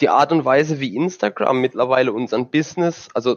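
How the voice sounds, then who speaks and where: A man speaks at a medium pitch and a moderate pace, with ordinary variation in pitch. It is an unremarkable speaking voice. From southern Germany. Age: 20s. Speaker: sim racing driver. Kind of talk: casual chat.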